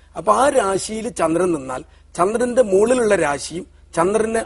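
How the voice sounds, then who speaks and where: A man speaking with ordinary pitch variation. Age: 40s. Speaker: astrologer. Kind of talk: TV interview. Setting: TV studio.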